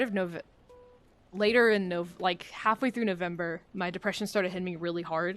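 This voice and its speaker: Her voice has a medium pitch. The woman talks at a moderate pace. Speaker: streamer. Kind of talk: casual livestream chat. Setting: livestream. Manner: monotone.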